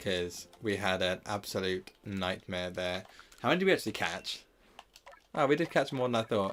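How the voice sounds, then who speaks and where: This man speaks with a fairly low pitch and ordinary pitch variation. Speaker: gaming streamer. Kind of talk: live stream commentary. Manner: fast; casual, chatty.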